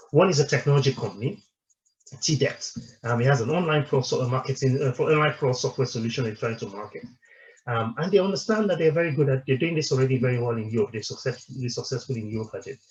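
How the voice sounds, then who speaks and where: A somewhat breathy male voice at a very fast pace. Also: medium pitch for a man, ordinary pitch variation. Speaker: company director presenting a webinar. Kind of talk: webinar presentation. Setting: online webinar. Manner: halting, many repetitions and fillers.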